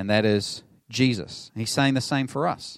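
With a New Zealand accent, a man talks at a medium pitch with fairly even intonation on a very clean recording with a silent background. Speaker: pastor. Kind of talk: sermon. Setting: church.

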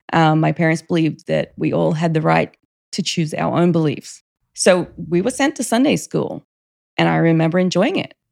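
Recorded very cleanly over a silent background, a woman speaks with an Australian accent. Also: moderate pace. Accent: Australian, still noticeable. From Australia, Queensland (Rockhampton). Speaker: church member sharing her faith story. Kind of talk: casual interview, personal testimony.

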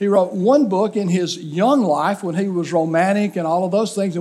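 The speaker has an Alabama accent and talks at a moderate pace. The pitch varies in an ordinary way. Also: man. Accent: Southern US (Alabama). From Alabama, US South. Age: 60s. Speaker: pastor. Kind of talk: sermon. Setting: church.

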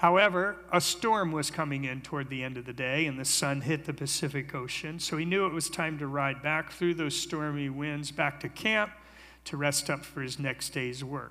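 With an American accent, a man talks at a moderate pace in a fairly high pitch, his tone bright and sharp and his pitch variation ordinary. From US, lives in California. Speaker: creation ministry speaker. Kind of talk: sermon-style presentation. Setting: church with audience. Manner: engaging, audience-interactive.

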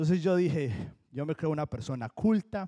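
This man has a Colombian accent, a fairly high pitch and a dark, mellow tone, with lively intonation. The sound is dry and close with no echo, on a very clean recording with a silent background. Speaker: pastor. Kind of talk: sermon.

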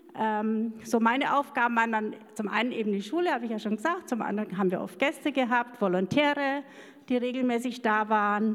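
Fairly quick speech with ordinary pitch variation over noticeable background noise. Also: woman, fairly high pitch for a woman. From rural Germany, farm background. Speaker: missionary. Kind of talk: interview testimony. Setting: church service with congregation. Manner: halting.

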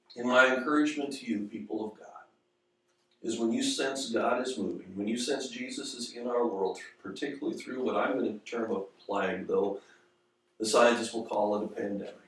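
Audible room echo accompanies a man talking fairly quickly at medium pitch with ordinary pitch variation. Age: 50s. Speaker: pastor. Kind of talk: sermon.

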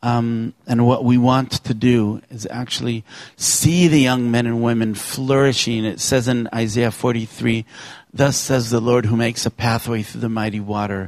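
A man with a plain, everyday voice speaks at a fairly slow pace, medium in pitch and fairly even in intonation. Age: 50s. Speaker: youth ministry director. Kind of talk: church talk. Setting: church.

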